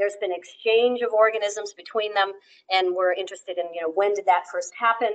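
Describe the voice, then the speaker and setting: A woman with an American accent at a moderate pace, her intonation fairly even. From Western US. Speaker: professor. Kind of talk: lecture. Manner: halting, many fillers.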